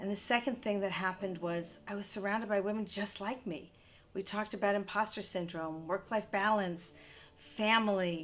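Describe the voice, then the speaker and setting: This is an unremarkable speaking voice. A woman talks at medium pitch. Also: fairly even intonation, moderate pace. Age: 60s. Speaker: entrepreneur and CEO. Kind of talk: interview monologue.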